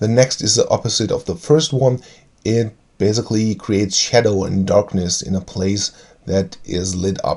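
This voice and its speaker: Speaking with a German accent at a moderate pace, a man uses a fairly low pitch with ordinary pitch variation. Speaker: tabletop game video creator. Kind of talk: tutorial. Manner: halting, many fillers.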